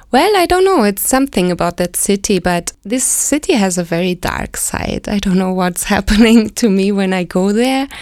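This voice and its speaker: With a German accent, a woman of medium pitch speaks at a moderate pace with ordinary pitch variation and hardly any pauses. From Germany, West Berlin. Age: 40s. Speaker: expat interviewee. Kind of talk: casual interview chat.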